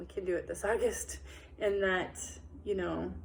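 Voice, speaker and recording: A woman talks at a fairly slow pace, and audible room echo surrounds her voice. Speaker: breastfeeding support group leader. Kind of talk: informal training talk to fellow volunteers.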